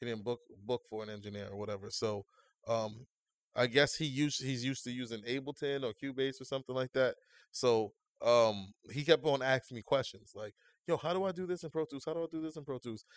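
A plain, everyday voice from a man at medium pitch and fairly quick pace, ordinary pitch variation, with a dry, close sound and no echo. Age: 30s. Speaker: music producer and audio engineer. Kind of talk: casual chat.

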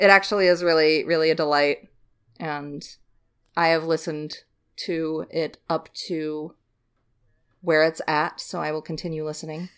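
A woman's very deep, low voice in a flat monotone at a moderate pace, with long, frequent pauses, in a very clean recording with a silent background. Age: 20s. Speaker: podcast host. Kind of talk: casual chat.

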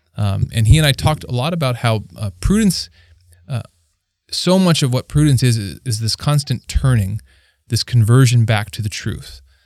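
Speaking with lively intonation at a moderate pace, a man has a normal speaking voice. The recording is very clean, with a silent background. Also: medium pitch for a man. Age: 30s. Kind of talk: casual faith discussion.

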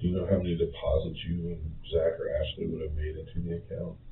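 A man's low-pitched voice with little pitch movement and audible room echo

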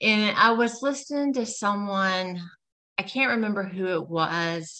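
A woman speaks in a bright, sharp tone with lively intonation, on a very clean recording with a silent background. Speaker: registered nurse and health coach. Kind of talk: podcast interview.

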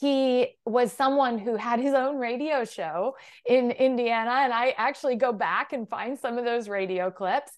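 With an American accent, a woman speaks in a high voice at a moderate pace with ordinary pitch variation and hardly any pauses against a quiet background. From US Midwest (Illinois, Iowa). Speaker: political communications strategist. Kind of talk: interview conversation.

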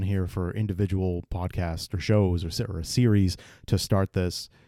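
A man with an American accent speaks at a moderate pace in a fairly low voice with a dark, mellow tone. The recording is very clean, with a silent background and a dry, close sound with no echo. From Massachusetts, near Brockton. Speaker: podcast host. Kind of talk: solo podcast monologue.

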